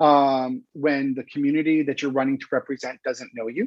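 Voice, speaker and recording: A man with a Californian accent, recorded with a dry, close sound and no echo. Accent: Californian American English. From Los Angeles, California. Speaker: campaign strategist. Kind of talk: interview. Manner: projecting voice.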